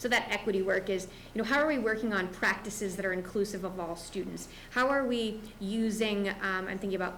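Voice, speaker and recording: Audible room echo surrounds a woman of medium pitch who talks at a fairly quick pace with fairly even intonation. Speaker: school district administrator. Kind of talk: board meeting presentation. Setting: school board meeting.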